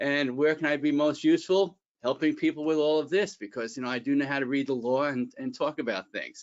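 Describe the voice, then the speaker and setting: A man with a Bronx accent talks at a fairly quick pace, with hardly any pauses. His pitch is fairly high, with ordinary variation. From New York, the Bronx. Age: 60s. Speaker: employment attorney and executive coach. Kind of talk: webinar presentation. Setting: online webinar.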